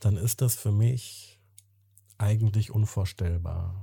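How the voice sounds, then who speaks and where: In a very clean recording with a silent background, a man talks at a very slow pace in a calm, dark, mellow, somewhat breathy tone, his pitch fairly low with ordinary variation. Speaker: podcast host. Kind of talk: interview conversation. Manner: calm, formal, empathetic.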